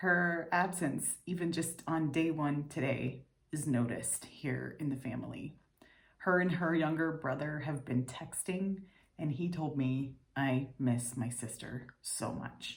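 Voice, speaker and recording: Somewhat breathy speech at a fairly slow pace, with ordinary pitch variation. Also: woman, very deep, low pitch for a woman. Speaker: video diary vlogger. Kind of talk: personal video diary.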